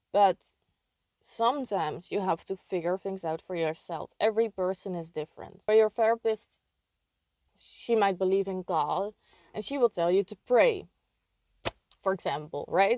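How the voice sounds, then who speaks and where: With a non-native accent, a woman speaks at medium pitch and a moderate pace, with ordinary pitch variation, a dark, mellow tone, long, frequent pauses, and a dry, close sound with no echo. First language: not English. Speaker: video creator sharing personal experience. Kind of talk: casual advice monologue.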